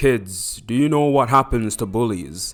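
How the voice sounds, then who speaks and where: A man does a put-on character voice at a medium pitch and a moderate pace. Music plays behind him. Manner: heroic, dramatic.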